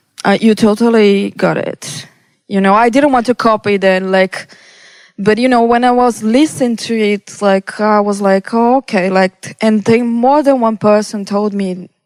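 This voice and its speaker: Speaking with a Brazilian Portuguese accent, a woman has a fairly high pitch, fairly even intonation and a moderate pace, in a dry, close sound with no echo. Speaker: electronic music producer. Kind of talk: interview. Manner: halting, many fillers.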